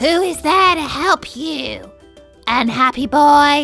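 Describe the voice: Faint music plays in the background as a put-on character voice moves at a very slow pace.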